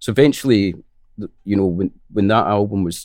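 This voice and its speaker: In a very clean recording with a silent background, a man speaks in a Scottish accent with a dark, mellow tone. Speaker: musician. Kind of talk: casual interview chat. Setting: in person, studio.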